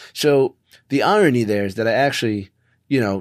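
In a plain, everyday voice, a man with an American accent speaks at a fairly quick pace and fairly low pitch with ordinary pitch variation. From Philadelphia, US Northeast. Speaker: company CEO, person in recovery from addiction. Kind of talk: interview, personal story.

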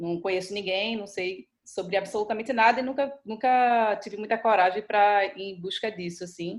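A woman with a Pernambuco accent talks at a moderate pace and medium pitch, with ordinary pitch variation. She barely pauses, and her loudness swings widely. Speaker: photographer. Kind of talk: casual chat.

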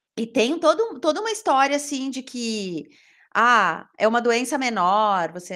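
Heard on a very clean recording with a silent background, a woman speaks at a high pitch with lively intonation. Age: 40s. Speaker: journalist. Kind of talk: casual chat.

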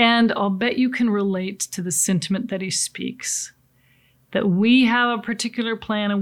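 On a very clean recording with a silent background, a woman with an American accent speaks at a moderate pace in a plain, everyday voice, at medium pitch with ordinary pitch variation. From US Pacific Northwest. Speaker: seminar speaker on coping with change. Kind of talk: motivational talk. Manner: conversational, with frequent fillers.

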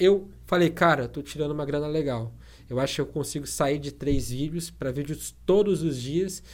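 The voice has vocal fry, a moderate pace and ordinary pitch variation. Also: man, fairly high pitch for a man. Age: 20s. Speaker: tech youtuber. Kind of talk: interview.

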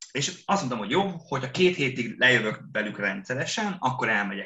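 At a moderate pace, a man talks at a medium pitch, his voice making very wide pitch swings. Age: 30s. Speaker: teacher. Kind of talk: casual chat. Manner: loud.

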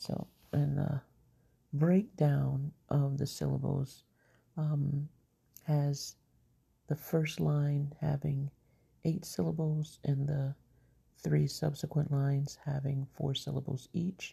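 Very slow and marked by long, frequent pauses, a woman's very deep, low voice is somewhat breathy, with a dark, mellow tone and fairly even intonation. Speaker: poet. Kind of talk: poetry reading, performed poem. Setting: home recording, late at night. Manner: measured, rhythmic, expressive delivery; casual, chatty, slightly scattered intro.

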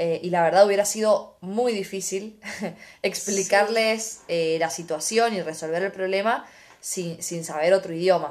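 A woman talks fairly slowly, her pitch medium and her intonation fairly even. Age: 20s. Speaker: podcast host. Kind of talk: casual chat.

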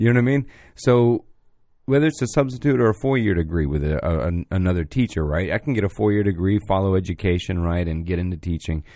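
A very deep, low, dark and mellow male voice with an American accent, very fast and with lively intonation, in a very clean recording with a silent background. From Florida, Orlando area. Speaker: podcast host. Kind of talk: casual chat. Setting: live-streamed studio podcast.

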